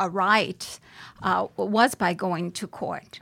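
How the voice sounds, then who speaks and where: A woman's bright, sharp tone at medium pitch with fairly even intonation, in a very clean recording with a silent background. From Brooklyn, New York (born in Puerto Rico). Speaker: judge. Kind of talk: interview. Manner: halting, many fillers.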